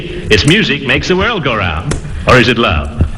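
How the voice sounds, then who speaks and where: Noticeable background noise sits behind a man's voice. He talks at a moderate pace with very wide pitch swings. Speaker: radio comedy character. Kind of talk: old-time radio comedy sketch.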